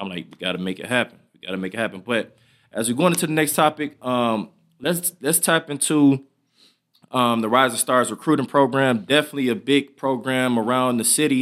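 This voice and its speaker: A man with an American accent talks at a fairly quick pace. He has a normal speaking voice with ordinary pitch variation. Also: medium pitch for a man, very clean recording, silent background. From Michigan, Southfield. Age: 20s. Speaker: podcast host, former athlete. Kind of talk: casual interview.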